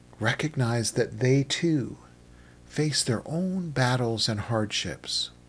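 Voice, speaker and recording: Speaking at a very slow pace, a man sounds calm and soothing, his voice somewhat breathy. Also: medium pitch for a man, ordinary pitch variation, very clean recording, silent background. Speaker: meditation guide. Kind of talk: guided meditation, calm instructional narration. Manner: slow, soothing, gentle pacing with long pauses; soft-spoken, even and calm.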